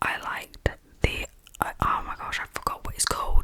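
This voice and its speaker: Noticeable background noise accompanies whispering delivered at a moderate pace. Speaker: ASMR creator. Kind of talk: ASMR chit chat. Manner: whispered.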